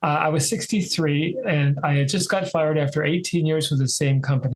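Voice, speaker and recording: Fairly high in pitch, this man has a normal speaking voice. His pitch variation is ordinary. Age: 60s. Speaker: author and sales agent. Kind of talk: interview storytelling.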